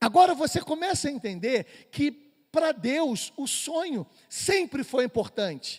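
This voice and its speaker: An animated man speaks at a fairly slow pace in an extremely high pitch, with very wide pitch swings. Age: 50s. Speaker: doctor and church speaker. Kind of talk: lecture. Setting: church.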